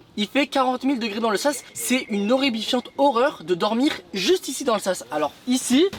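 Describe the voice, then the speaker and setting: An animated man with an extremely high pitch speaks at a moderate pace with lively intonation amid noticeable background noise. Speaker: travel vlogger. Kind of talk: casual vlog commentary. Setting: campsite shop; outdoors at a campsite. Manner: speaking quietly.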